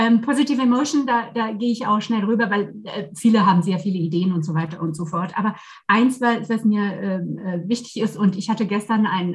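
A woman's voice is somewhat breathy, at a moderate pace. Her pitch varies in an ordinary way. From France, Versailles near Paris. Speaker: leadership coach and trainer. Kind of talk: casual interview chat.

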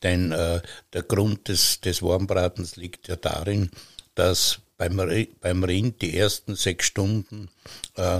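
Very slowly and in a flat monotone, a man talks with a very deep, low, somewhat breathy voice on a very clean recording with a silent background. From Austria, Styria. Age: 70s. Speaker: master butcher. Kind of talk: casual chat. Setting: wooden farm granary.

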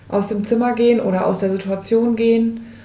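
Fairly quick, monotone, flat speech from a woman at a fairly high pitch, with noticeable background noise and audible room echo. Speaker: nurse coach and podcast co-host. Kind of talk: casual chat. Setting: kitchen table in a rented holiday home. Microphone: one shared mic clipped to a magazine, laptop.

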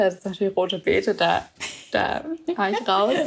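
Noticeable background noise fills the clip. A woman speaks through it at a fairly quick pace. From Swabia, southern Germany. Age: 20s. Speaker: office worker and program participant. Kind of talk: casual interview chat.

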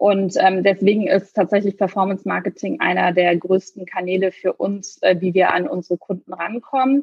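A woman with a plain, everyday voice speaks at medium pitch and a moderate pace, with ordinary pitch variation and hardly any pauses. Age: 30s. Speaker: startup founder. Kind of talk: podcast interview. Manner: frequent fillers.

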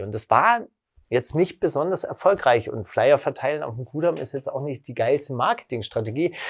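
A man speaks in a normal speaking voice at a fairly high pitch, with lively intonation. The recording is very clean, with a silent background. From western Germany. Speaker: record label founder. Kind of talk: interview.

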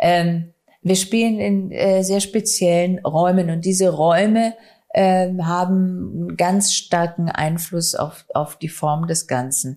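The intonation stays fairly even. Its tone is dark and mellow. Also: woman. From Bavaria, Regensburg. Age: 40s. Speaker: stage actress and director. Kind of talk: interview.

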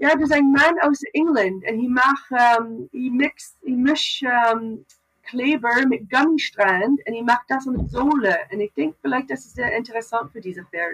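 A woman at a moderate pace, with lively intonation and big swings in loudness. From Canada. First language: English (also Dutch) (speaking German). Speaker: farrier. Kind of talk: casual interview. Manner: halting, mixing German, English and Dutch.

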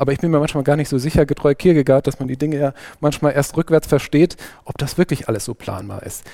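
Speaking at a very fast pace, a man with a Saarland accent has a dark, mellow tone. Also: fairly high pitch for a man, ordinary pitch variation. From Saarland, Germany (Saarbrücken). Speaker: podcast host. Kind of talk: interview.

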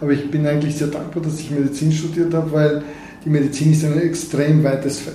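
A man speaks at a fairly high pitch with monotone, flat intonation. Noticeable background noise and audible room echo fill the recording. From Bulgaria. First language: Bulgarian (speaking German). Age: 50s. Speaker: neurosurgeon. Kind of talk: interview. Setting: in his office.

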